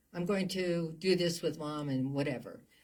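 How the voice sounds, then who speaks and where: With lively intonation and an American accent, the voice moves at a moderate pace amid audible room echo. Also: woman. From New Jersey. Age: 80s+. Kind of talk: interview. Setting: studio.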